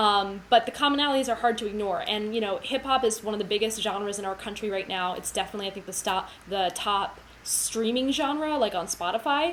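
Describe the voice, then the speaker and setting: Against noticeable background noise, a woman with an American accent talks at a fairly high pitch. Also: ordinary pitch variation, fairly quick pace. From United States. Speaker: cellist and music educator. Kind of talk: livestream lecture. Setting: livestream. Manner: fast.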